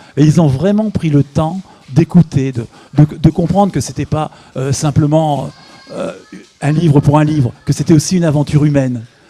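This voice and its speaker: Over music in the background, a man with a fairly high pitch speaks at a moderate pace with ordinary pitch variation and long, frequent pauses. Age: 60s. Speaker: author and amateur runner. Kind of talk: interview. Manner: halting, with repetitions and hesitations.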